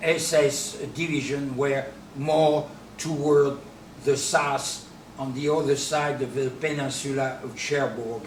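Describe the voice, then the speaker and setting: A man with a French accent, fairly high in pitch, very slow and monotone, with noticeable background noise and audible room echo. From France, Normandy. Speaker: businessman and D-Day memorial advocate. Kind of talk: interview.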